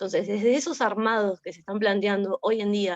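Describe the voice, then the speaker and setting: A woman uses a plain, everyday voice at a fairly high pitch and a fairly quick pace. The sound is dry and close with no echo. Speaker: seminar participant. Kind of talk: discussion in online seminar.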